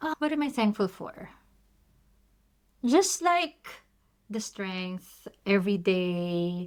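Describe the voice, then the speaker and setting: A woman's medium-pitched voice with a Filipino accent, very wide pitch swings and big swings in loudness, at a very slow pace with long, frequent pauses, on a very clean recording with a silent background. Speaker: nurse podcast co-host. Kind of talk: casual chat.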